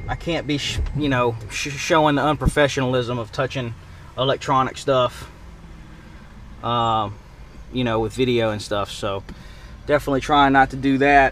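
A man speaks at medium pitch and a moderate pace, with long, frequent pauses. His tone is fairly bright and his intonation fairly even, with faint background noise.

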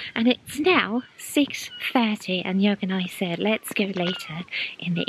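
Amid noticeable background noise, a woman talks at a very slow pace. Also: dry sound with no echo. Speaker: travel vlogger. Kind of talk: casual vlog chat. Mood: cheerful, enthusiastic. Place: open country. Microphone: phone near.

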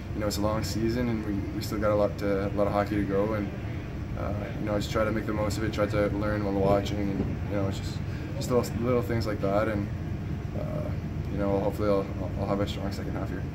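A man speaks at a very fast pace. Loud background noise runs behind him. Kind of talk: interview answer. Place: hall. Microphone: phone near.

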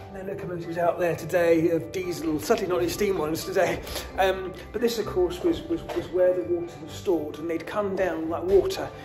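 Clear music plays behind a man who speaks at a fairly quick pace in a high voice with fairly even intonation. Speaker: TV presenter. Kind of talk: casual vlog chat. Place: empty room. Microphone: phone near.

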